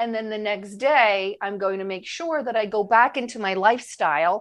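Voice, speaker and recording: Against a quiet background, a woman with an ordinary speaking voice and a medium pitch talks at a fairly quick pace. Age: 50s. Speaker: chef and weight loss coach. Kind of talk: casual chat.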